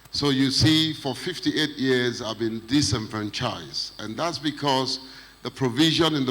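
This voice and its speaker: A man speaks at a medium pitch with ordinary pitch variation. Noticeable background noise runs under his voice. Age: 60s. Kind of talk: panel discussion.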